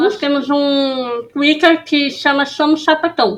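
Pitch varies in an ordinary way as the speech unfolds very slowly. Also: woman. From São Paulo city, Brazil. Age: 20s. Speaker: podcast co-host. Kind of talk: casual chat.

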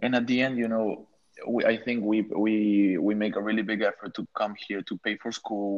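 A man's fairly low, monotone, flat delivery with an Ecuadorian accent at a moderate pace, against a quiet background. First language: Spanish. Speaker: architect. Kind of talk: casual chat.

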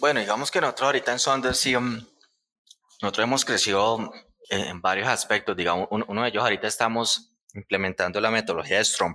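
Bright and sharp in tone, a man talks at a fairly quick pace with ordinary pitch variation. The recording is very clean, with a silent background. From Colombia, Puerto Salgar (Cundinamarca). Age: 30s. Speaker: software company co-founder. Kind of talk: casual interview.

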